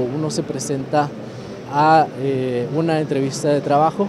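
The speech moves at a moderate pace. The sound is dry with no echo, and background noise is noticeable. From Guatemala. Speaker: reporter. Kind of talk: live field report. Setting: convention center job fair. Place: hall. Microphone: phone near.

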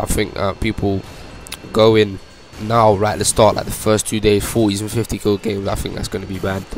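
Over music in the background, a man talks in a fairly low, monotone, flat voice at a moderate pace. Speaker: gaming YouTuber. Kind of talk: gameplay commentary. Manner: halting; quiet.

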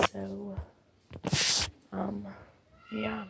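A woman talks while noticeable noise carries on in the background. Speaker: vlogger. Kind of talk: casual vlog chat. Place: home room. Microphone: phone near.

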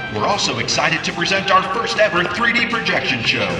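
A fairly quick pace, with audible room echo and clear music in the background. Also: man. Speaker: voice actor. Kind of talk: venue announcer read. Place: open country.

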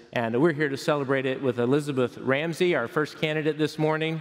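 The man's intonation is fairly even, and the background is quiet. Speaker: pastor. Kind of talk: sermon. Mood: warm, celebratory. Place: church. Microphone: headset.

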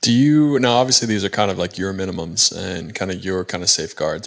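A man's fairly low pitch at a very fast pace against a quiet background. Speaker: podcast host and corporate pilot; podcast host. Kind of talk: casual interview. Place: home room. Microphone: handheld.

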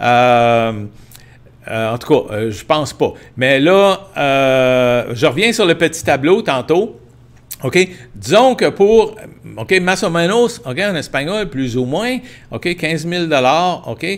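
A man with a Quebec accent speaks at a very slow pace with long, frequent pauses, fairly high pitch and very wide pitch swings. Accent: Québécois French. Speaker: livestream host, tour agency owner; livestream host. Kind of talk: live-stream Q&A and practical advice. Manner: hesitant, many fillers. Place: home room. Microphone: earbuds.

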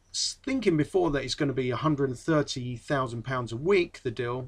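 A man speaks in an English accent with lively intonation. The background is quiet. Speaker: football fan vlogger. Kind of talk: casual monologue. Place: home room. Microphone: webcam.

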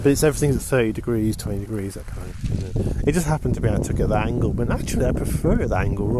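Noticeable background noise sits behind a man's voice. He speaks very fast at a fairly low pitch. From northern England, Lancashire. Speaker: hiking vlogger. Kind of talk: casual vlog monologue. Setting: outdoors at a campsite. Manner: rambling with many fillers and repeats.

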